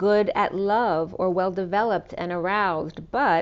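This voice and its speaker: A woman speaks fairly slowly at a medium pitch in a normal speaking voice. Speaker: tarot and oracle card reader, spiritual coach. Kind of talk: tarot reading, casual talk to camera.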